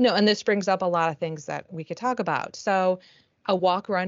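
Speaking in an ordinary speaking voice, a woman keeps a moderate pace and fairly even intonation. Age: 50s. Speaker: triathlon coach. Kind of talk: casual chat.

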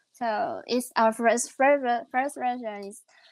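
The woman's pitch varies in an ordinary way. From Taiwan. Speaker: tech startup founder. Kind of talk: interview. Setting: remote call. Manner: halting.

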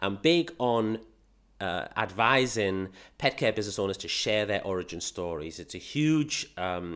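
A man with a British accent talks at a fairly slow pace, his intonation lively. The recording is very clean, against a silent background. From England. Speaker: podcast host, pet business marketing consultant. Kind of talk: casual monologue. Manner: animated.

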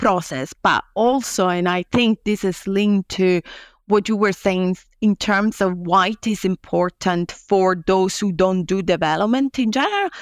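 A woman with an Italian accent speaks at a fairly slow pace and a medium pitch, with ordinary pitch variation and very even loudness. The sound is dry and close with no echo, on a very clean recording with a silent background. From Italy. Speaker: law professor. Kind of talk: interview.

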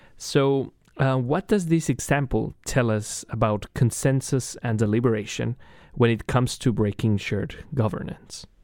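A man with a Spanish accent talks at a moderate pace and a medium pitch with ordinary pitch variation. The recording is very clean, with a silent background. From Chile. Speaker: radio host, graduate student. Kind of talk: interview.

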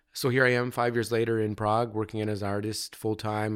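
In a Canadian accent, a man speaks with monotone, flat intonation on a very clean recording with a silent background. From Canada, London, Ontario. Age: 40s. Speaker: visual artist. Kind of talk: casual interview. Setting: artist studio.

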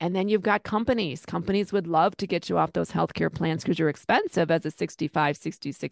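Against a quiet background, with a dry, close sound and no echo, a woman with a fairly low voice and vocal fry talks at a fairly quick pace, hardly pausing, her pitch varying in an ordinary way. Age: 50s. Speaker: Medicare insurance agent. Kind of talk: interview.

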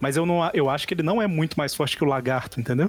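A man talks at a very fast pace in a fairly high pitch, with ordinary pitch variation. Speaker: podcast host. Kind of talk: casual chat.

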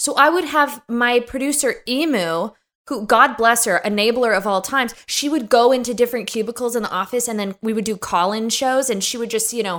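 Fairly high in pitch, a woman speaks at a fairly quick pace with ordinary pitch variation in a normal speaking voice. The recording is very clean, with a silent background. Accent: American. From US, suburbs of Los Angeles. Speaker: podcast host. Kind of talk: casual chat. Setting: in person with host.

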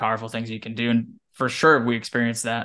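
Over a quiet background, a man with an American accent talks at a very fast pace. His pitch is medium. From Wyoming, US. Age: 20s. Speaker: running coach. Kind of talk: podcast interview.

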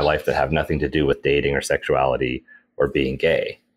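This man talks at a moderate pace. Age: 40s. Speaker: motivational speaker and comedian. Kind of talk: podcast interview.

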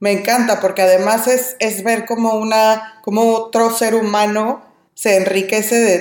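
This woman has a fairly high pitch and talks at a fairly slow pace. It is an ordinary speaking voice. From Mexico. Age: 30s. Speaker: language teacher. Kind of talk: casual chat.

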